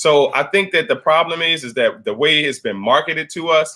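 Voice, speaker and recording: The speaker moves at a fairly quick pace. Pitch variation is ordinary. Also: man. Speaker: keto coach. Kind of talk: live stream class. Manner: fast.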